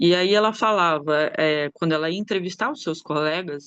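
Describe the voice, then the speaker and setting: With ordinary pitch variation and a moderate pace, the speech sounds dry and close, without echo. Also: woman. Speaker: anthropologist and researcher. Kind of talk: academic conference talk. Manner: hesitant, many filler sounds.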